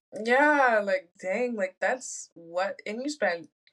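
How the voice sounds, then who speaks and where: A woman talks at a very slow pace. She has an American accent. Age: 20s. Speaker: electrical engineer. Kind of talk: casual chat.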